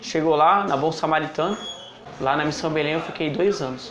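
A man's high-pitched voice at a moderate pace, fairly even intonation, light background noise and audible room echo. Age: 20s. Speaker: recovering drug addict. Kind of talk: testimony. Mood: serious, reflective. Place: home room. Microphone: lapel.

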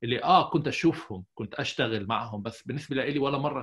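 The man talks fairly quickly, and the background is quiet. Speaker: psychologist; podcast guest. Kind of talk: interview. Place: office. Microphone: earbuds.

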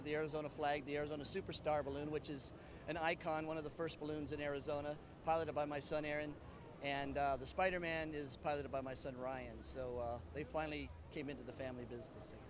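A man talks at a very fast pace with fairly even intonation, his voice dry with no echo against noticeable background noise. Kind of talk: interview answer. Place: street. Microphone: handheld.

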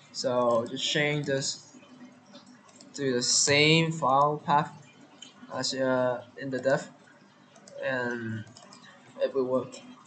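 Long, frequent pauses break up a man's very slow speech, his fairly high voice keeping a fairly even intonation over noticeable background noise. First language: not English. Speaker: Mugen tutorial creator. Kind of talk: screen-recorded software tutorial. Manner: hesitant, many fillers.

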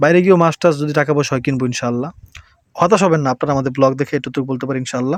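With a plain, everyday voice, a man speaks at a fairly high pitch and ordinary pitch variation, the sound dry and close with no echo. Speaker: family vlogger. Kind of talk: casual vlog narration.

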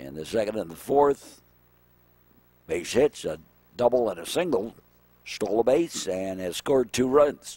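Pitched in a medium range, a man with a dark, mellow tone speaks fairly slowly, with long, frequent pauses, very wide pitch swings and big swings in loudness. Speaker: baseball play-by-play announcer. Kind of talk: live sports commentary, play-by-play. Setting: outdoors at ballfield. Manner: chatty, with asides and trivia between pitches.

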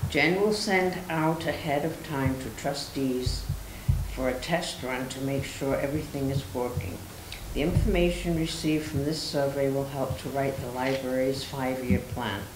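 Noticeable background noise can be heard. The delivery keeps a moderate pace. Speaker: board member reading the report. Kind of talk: reading meeting report aloud. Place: meeting room. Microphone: podium.

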